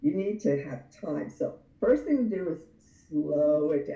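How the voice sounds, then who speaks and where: A woman speaks in a dark, mellow tone. Her delivery is somewhat breathy and fairly slow. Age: 60s. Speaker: anger management expert. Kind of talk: casual interview chat.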